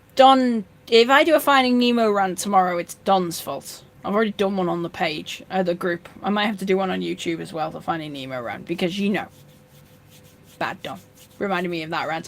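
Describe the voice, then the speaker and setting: A woman talks at a fairly quick pace with lively intonation and a medium pitch. Noticeable background noise is present. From North Yorkshire, northern England. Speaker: fishkeeping live streamer. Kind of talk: live stream chat reading comments. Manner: casual, many fillers and restarts.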